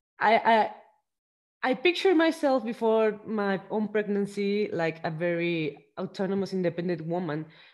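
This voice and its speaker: This woman has a Spanish accent. Her intonation is lively. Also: medium pitch for a woman, moderate pace, quiet background. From Mexico. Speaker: podcast host. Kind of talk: interview. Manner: halting.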